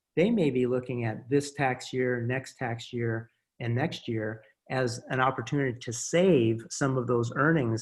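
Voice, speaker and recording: Somewhat breathy, the speaker talks at a fairly slow pace with a Midwestern accent. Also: man. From US Midwest. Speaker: small business advocacy director. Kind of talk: interview. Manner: halting, many repeated words.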